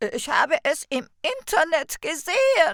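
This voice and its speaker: A woman projects a raised, put-on character voice at an extremely high pitch with very wide pitch swings and a fairly slow pace. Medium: read story. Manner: anxious, excitable.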